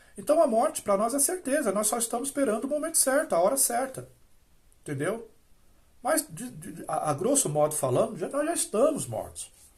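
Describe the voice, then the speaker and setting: A man speaks loudly at a moderate pace. His pitch is extremely high, with very wide pitch swings. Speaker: religious YouTuber, former Jehovah's Witness critic. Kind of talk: solo video monologue on religion. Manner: hesitant, many fillers and restarts; speaks loudly after briefly lowering voice.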